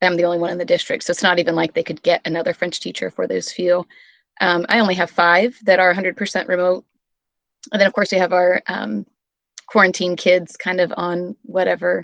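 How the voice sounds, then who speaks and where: Recorded with a dry, close sound, no echo and a quiet background, a woman has an ordinary speaking voice with a fairly low pitch, ordinary pitch variation and a moderate pace. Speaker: teacher. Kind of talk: casual round-table chat. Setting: video call.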